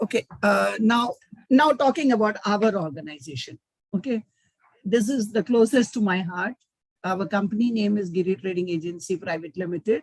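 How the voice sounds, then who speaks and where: In a dry, close sound with no echo, a woman speaks at a moderate pace and medium pitch, somewhat breathy, with lively intonation. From India, Mumbai. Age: 60s. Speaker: business owner. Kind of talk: webinar talk.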